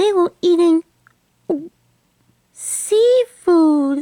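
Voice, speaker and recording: A cartoonish character voice, female-sounding and squeaky, sits at an extremely high pitch. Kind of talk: puppet show storytelling. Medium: puppet show. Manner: earnest, chatty, polite.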